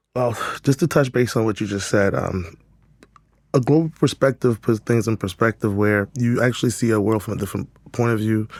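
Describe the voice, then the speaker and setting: At a fairly quick pace with ordinary pitch variation, the voice comes through in a very clean recording with a silent background and a dry, close sound with no echo. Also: man, medium pitch for a man. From West Africa, raised in New York. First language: French. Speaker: boutique owner and creative director. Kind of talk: podcast interview.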